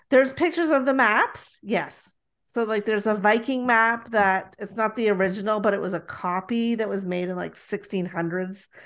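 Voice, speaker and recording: A woman speaks in an unremarkable speaking voice with a Canadian accent, at a moderate pace. Her pitch is fairly high with ordinary variation, and the background is quiet. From Toronto, Canada. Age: 50s. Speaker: podcast host and author. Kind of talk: casual chat. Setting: video call.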